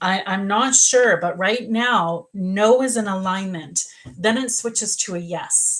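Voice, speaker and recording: A woman speaks fairly slowly at medium pitch with ordinary pitch variation. She has an ordinary speaking voice. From Canada. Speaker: psychic medium. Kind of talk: live psychic reading.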